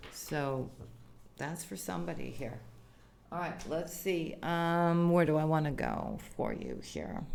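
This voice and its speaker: A woman speaks at a fairly slow pace. Audible echo fills the room. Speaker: tarot reader. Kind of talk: tarot reading. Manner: casual, conversational.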